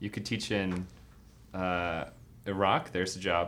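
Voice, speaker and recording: An unremarkable speaking voice, a man talks at a moderate pace with a fairly low pitch. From New York. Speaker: podcast co-host, former teacher. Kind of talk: casual chat. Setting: studio.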